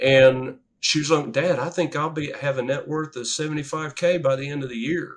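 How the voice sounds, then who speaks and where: The speaker has a plain, everyday voice with fairly even intonation. The moderate pace runs with hardly any pauses. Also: man, fairly high pitch for a man. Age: 60s. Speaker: real estate investor and engineer. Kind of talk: interview. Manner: conversational.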